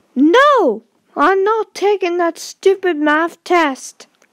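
A woman puts on a cartoonish character voice at an extremely high pitch. She drags it out at a very slow pace.

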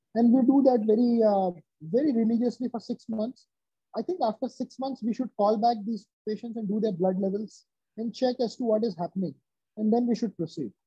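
A man with an Indian accent speaks at a fairly quick pace in a high pitch with ordinary pitch variation, over a quiet background with a dry sound and no echo. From central India. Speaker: bariatric surgeon; interviewee. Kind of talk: interview. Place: office. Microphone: video call.

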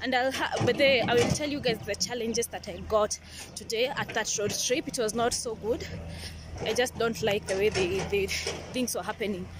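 A woman at a moderate pace with ordinary pitch variation, in a dry sound with no echo over loud background noise. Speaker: travel vlogger. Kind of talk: casual vlog chat. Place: street. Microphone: phone near.

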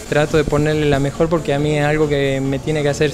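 Over clear music in the background, a man talks at a fairly quick pace. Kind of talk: interview answer. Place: shop. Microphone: handheld.

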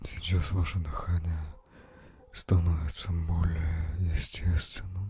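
In a dry sound with no echo, a man with a very deep, low pitch talks at a very slow pace in a calm, soothing tone, leaving long, frequent pauses. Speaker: ASMR relaxation guide. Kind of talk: guided meditation. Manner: calm, slow, soothing. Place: home room. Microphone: handheld.

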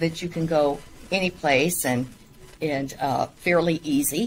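With light background noise behind her, a woman speaks at a very slow pace using fairly even intonation. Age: 60s. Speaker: mayor. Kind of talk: casual interview. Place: office.

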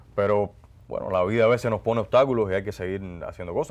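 A man speaks with ordinary pitch variation. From Cuba, Guantánamo; Cuba. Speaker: actor and announcer; actor, announcer. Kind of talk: interview. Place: studio. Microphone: lapel.

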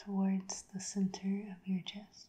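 Against a quiet background, a woman talks very slowly in a calm tone. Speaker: reiki practitioner. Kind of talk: guided breathing meditation. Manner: slow, calm. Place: home room.

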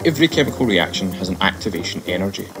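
Clear music plays behind a man speaking with a Scottish accent. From Scotland. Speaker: science presenter. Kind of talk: science demonstration to camera. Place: studio.

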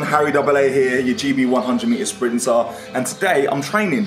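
Against clear music in the background, a man speaks with audible room echo. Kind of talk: casual vlog chat. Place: gym.

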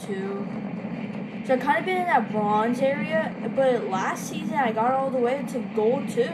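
Loud background noise surrounds the recording. A woman speaks very slowly over it. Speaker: gamer filming own play. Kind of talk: casual gameplay commentary. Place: home room. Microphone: phone near.

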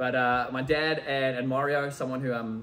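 Light background noise is present. The speaker is a man. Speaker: event host. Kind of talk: presentation to audience. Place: meeting room. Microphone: camera far.

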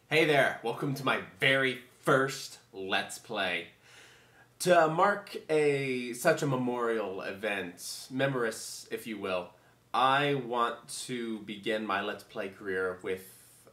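A man speaks at a very slow pace in a bright, sharp tone. Room echo is audible. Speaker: gaming video host. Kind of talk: casual let's play intro chat. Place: home room. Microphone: webcam.

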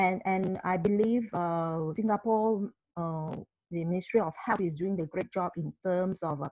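Over a quiet background, a woman speaks somewhat breathily at a fairly slow pace with ordinary pitch variation, the sound dry with no echo. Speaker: presenter. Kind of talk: online presentation. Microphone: video call.

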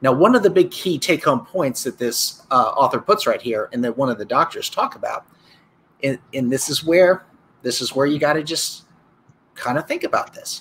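Over light background noise, a man with an unremarkable speaking voice talks at a moderate pace, his fairly high pitch carried by lively intonation. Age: 40s. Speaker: sports injury doctor. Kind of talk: casual chat. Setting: live stream video call. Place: office.

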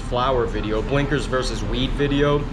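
A man talks at a moderate speed while music plays behind him. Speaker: vlogger. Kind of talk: casual vlog chat. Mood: relaxed, grateful. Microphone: phone near.

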